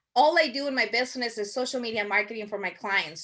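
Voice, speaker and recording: With a strong Spanish accent, a woman speaks at a fairly quick pace in a high pitch, her tone bright and sharp and her intonation fairly even, over a quiet background. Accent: thick Spanish. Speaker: marketing workshop instructor. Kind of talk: online workshop presentation. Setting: video call. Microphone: video call.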